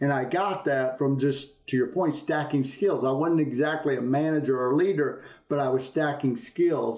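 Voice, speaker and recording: Noticeable background noise sits behind a man of fairly high pitch who speaks at a moderate pace with ordinary pitch variation and very even loudness. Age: 60s. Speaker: business executive. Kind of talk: interview.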